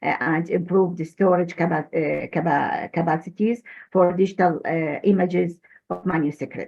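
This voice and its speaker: With an Arabic accent, a woman speaks fairly slowly in a fairly low pitch with vocal fry and fairly even intonation. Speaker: manuscripts expert. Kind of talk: presentation. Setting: video call. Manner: halting, many fillers.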